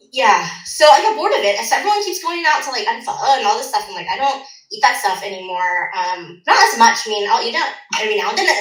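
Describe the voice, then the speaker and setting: At a very fast pace, a woman with an American accent talks in a high pitch with very wide pitch swings, amid noticeable background noise and audible room echo. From Orange County, California. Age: 40s. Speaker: dietitian. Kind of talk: casual chat.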